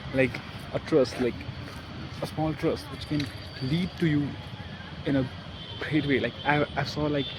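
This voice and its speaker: Long, frequent pauses break up the speech, which carries a non-native accent. Noticeable background noise sits behind it. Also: man, fairly high pitch for a man. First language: not English. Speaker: self-improvement vlogger. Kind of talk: casual vlog talk. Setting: outdoors in a park. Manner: halting.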